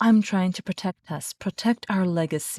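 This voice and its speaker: In a put-on character voice that sounds female, the speaker growls at a medium pitch and a moderate pace. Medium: read story. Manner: snarling, firm.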